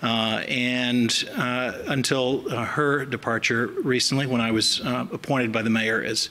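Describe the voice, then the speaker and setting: At a moderate pace, a man with an American accent speaks. His pitch is medium, with ordinary variation. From US South. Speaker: chief medical examiner. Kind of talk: public speech. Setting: podium at symposium. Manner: hesitant, many fillers.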